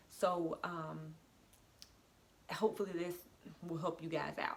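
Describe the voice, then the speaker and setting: Over noticeable background noise, a woman with a fairly low pitch speaks at a moderate pace in a monotone, flat manner. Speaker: beauty vlogger. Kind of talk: casual tutorial vlog. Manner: hesitant, many fillers.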